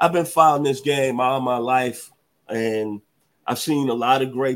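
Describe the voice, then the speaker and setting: A man speaks in a Southern US accent. His pitch is medium and his pace fairly slow. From US South, Memphis, Tennessee. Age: 60s. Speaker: sports podcast host. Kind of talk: interview. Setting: studio. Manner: animated.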